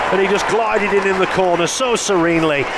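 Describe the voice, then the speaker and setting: Crowd noise fills the background behind a man. His tone is animated, with ordinary pitch variation. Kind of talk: live sports commentary (rugby league highlights). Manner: fast, animated play-by-play delivery, rattling off player names and vivid descriptions; enthusiastic and witty, with dry humour and laughter.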